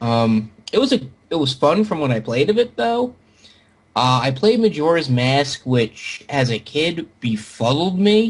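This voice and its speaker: Fairly high-pitched and somewhat breathy, a man speaks at a fairly slow pace with very wide pitch swings. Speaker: podcast host. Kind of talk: casual chat. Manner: halting, stammering repeats.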